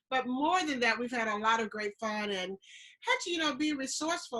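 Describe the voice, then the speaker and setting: A woman with a Southern US accent talks at a fairly quick pace in a fairly high pitch, her tone bright and sharp and her intonation lively. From US South (Georgia). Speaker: travel podcast co-host. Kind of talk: casual chat.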